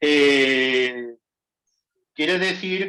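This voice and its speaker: With ordinary pitch variation, a man talks in a bright, sharp tone. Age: 70s. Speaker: communist party member in a debate. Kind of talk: heated debate.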